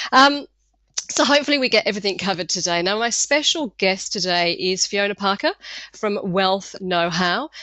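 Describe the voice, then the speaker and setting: Here a woman talks at a medium pitch. She has an English accent. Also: lively intonation, moderate pace. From England. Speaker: marketing consultant. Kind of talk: webinar presentation. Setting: webinar. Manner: loud.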